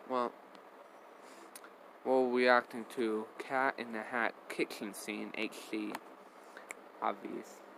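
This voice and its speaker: There is noticeable background noise as a man speaks at a medium pitch in a monotone, flat intonation. He goes at a very slow pace with long, frequent pauses. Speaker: reaction video youtuber. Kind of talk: casual reaction commentary. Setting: at home in bedroom.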